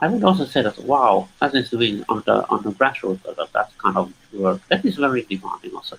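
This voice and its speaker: Fairly quick male speech with hardly any pauses. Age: 60s. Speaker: human rights activist. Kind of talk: interview discussion. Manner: halting, with repeated words.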